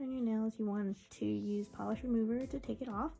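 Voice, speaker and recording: A whispered voice moving at a moderate pace. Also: woman. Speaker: beauty vlogger. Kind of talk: tutorial. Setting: at home with family in the room. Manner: whispering.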